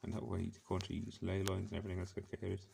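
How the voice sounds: A man with a low, gravelly voice and a dark, mellow tone talks fast with vocal fry and little pitch movement.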